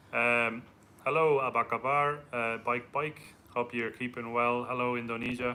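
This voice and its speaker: A man speaks at a moderate pace with an Irish accent. His intonation is flat and monotone. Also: medium pitch for a man. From Ireland. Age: 30s. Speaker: travel vlogger. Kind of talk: live stream Q&A.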